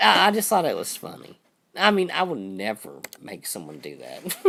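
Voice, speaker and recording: A man's voice has a bright, sharp tone with vocal fry and very wide pitch swings. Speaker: livestream host. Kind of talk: casual chat.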